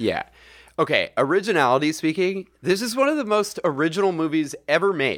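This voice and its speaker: A man with an American accent speaks at a high pitch with lively intonation on a very clean recording with a silent background. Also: fairly quick pace. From US, Saratoga area. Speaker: podcast co-host. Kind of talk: casual chat.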